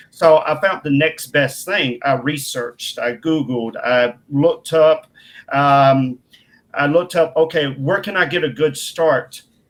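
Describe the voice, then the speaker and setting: Someone with a Southern accent speaks at a fairly slow pace with ordinary pitch variation. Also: man, fairly high pitch for a man. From Mississippi, US South. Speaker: filmmaker. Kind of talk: interview. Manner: animated.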